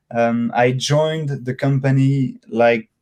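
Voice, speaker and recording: The voice has a dark, mellow tone. It carries a French accent. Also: man. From France, Dijon. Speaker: circus company business developer. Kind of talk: interview. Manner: hesitant, many fillers and repeats.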